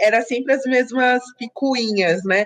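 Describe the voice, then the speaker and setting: Her voice sits high for a woman, and this woman's pitch varies in an ordinary way. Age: 30s. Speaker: guest, friend of host. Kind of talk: casual chat.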